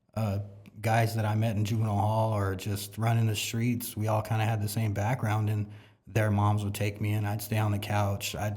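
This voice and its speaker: A man with an American accent and a fairly low pitch speaks at a moderate pace, somewhat breathy, monotone and flat, at very even loudness, with audible room echo. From South San Jose, California. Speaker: church member sharing testimony. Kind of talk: testimony. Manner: casual, halting with fillers.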